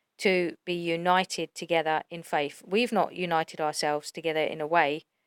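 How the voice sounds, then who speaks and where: Soft-spoken and flat in a monotone, a woman speaks with fairly low pitch on a very clean recording with a silent background and dry, close sound with no echo. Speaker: religious YouTuber. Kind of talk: religious monologue.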